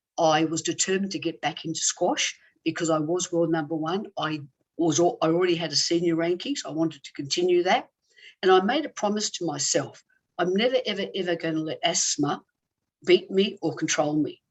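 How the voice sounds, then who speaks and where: Fairly quick delivery in an Australian accent, with ordinary pitch variation. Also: woman, fairly low pitch for a woman. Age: 60s. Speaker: former squash champion and healer. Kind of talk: interview.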